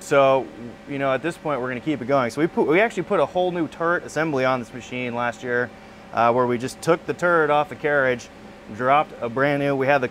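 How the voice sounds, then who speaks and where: With light noise behind him, a man speaks at a very fast pace and ordinary pitch variation. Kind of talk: tutorial. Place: workshop. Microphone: lapel.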